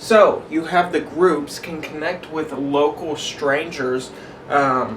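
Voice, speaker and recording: Amid noticeable background noise and audible room echo, a man speaks very slowly at a fairly high pitch. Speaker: cleaning business owner and coach. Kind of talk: tutorial. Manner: casual, with frequent fillers.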